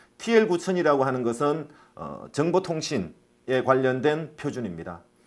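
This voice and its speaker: A man talks at medium pitch, with vocal fry running through his voice. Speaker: safety management consultant. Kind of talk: lecture. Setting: online lecture (recorded remotely). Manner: says own pronunciation is not clear.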